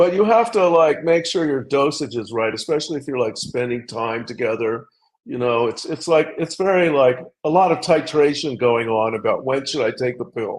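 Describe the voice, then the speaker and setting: A man with an ordinary speaking voice, a fairly high pitch, lively intonation and a moderate pace. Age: 60s. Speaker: journalist and author. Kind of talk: casual chat.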